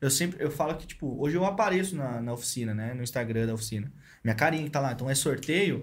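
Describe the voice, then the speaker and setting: Over audible room echo, a man talks at a very fast pace in a fairly high, somewhat breathy voice with lively intonation. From Brazil, São Paulo state (Santos, Paulínia). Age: 20s. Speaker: marketing head and podcast host. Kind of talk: casual chat.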